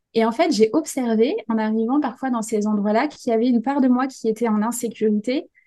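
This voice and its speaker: Somewhat breathy with a dark, mellow tone, a woman speaks at a fairly high pitch and a fairly quick pace with fairly even intonation. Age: 20s. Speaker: life coach and entrepreneur. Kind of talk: casual chat.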